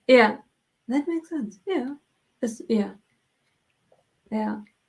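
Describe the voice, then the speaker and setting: A woman with a German accent speaks at a very slow pace. Her voice is high with lively intonation. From Germany. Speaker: livestream co-host. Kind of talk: casual chat.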